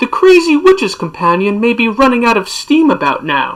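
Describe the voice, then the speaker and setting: Using a put-on character voice, a woman speaks at a high pitch and a moderate pace, with hissing in the sound. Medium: read story. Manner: sly, mocking.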